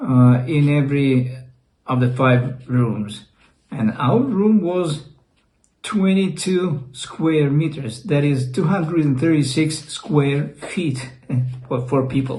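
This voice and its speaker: Somewhat breathy and dark, mellow in tone, the voice moves at a very slow pace with ordinary pitch variation and a Russian accent, with audible room echo around it. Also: man, fairly high pitch for a man. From Russia (Leningrad). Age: 60s. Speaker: YouTuber. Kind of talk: personal storytelling. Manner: halting.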